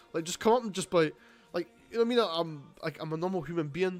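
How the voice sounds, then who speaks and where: A man with a Scottish accent talks at a fairly quick pace with ordinary pitch variation. Music plays in the background. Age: 20s. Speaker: streamer. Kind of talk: casual live stream chat. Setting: live stream at home. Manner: casual, rambling with fillers.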